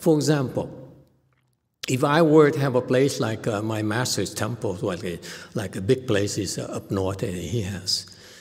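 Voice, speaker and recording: With lively intonation, a man speaks in a somewhat breathy voice at a medium pitch. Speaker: Chan Buddhist teacher. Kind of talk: live Q&A teaching session. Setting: online livestream with viewer questions.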